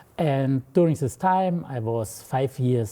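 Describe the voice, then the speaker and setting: Speaking at a fairly slow pace, a man with a slight German accent has a dark, mellow tone at medium pitch, with ordinary pitch variation. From Germany, Munich. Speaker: mathematics professor and department head. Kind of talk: interview.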